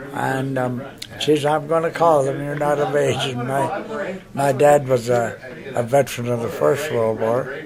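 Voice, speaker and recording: A man with a Canadian accent at a fairly high pitch, fairly slow pace and fairly even intonation, amid audible room echo and noticeable background noise. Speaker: war veteran. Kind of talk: interview reminiscence. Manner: halting, many fillers.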